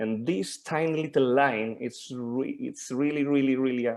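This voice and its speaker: A man speaks with a Spanish accent at a fairly slow pace. His pitch is medium, with ordinary variation. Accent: Spanish accent, obvious. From Spain. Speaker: mentor and supervisor. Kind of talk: group discussion on video call. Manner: halting, many fillers and repetitions.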